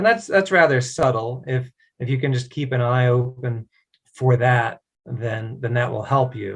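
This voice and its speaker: This somewhat breathy voice has an American accent. It moves at a moderate pace with fairly even intonation. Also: man. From US East Coast, Virginia. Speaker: native English conversation partner. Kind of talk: casual conversation practice.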